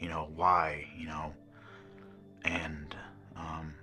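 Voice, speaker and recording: A man with an American accent speaks at a very slow pace in a very deep, low pitch with monotone, flat intonation. Music plays in the background, and room echo is audible. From Missouri. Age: 40s. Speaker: rehab program resident. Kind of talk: testimony. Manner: halting, many fillers.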